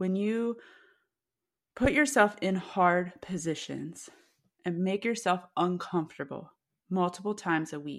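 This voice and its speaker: A woman talks at a fairly slow pace with ordinary pitch variation. Her speech has long, frequent pauses. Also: medium pitch for a woman, very clean recording, silent background. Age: 40s. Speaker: nutrition coach. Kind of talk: interview.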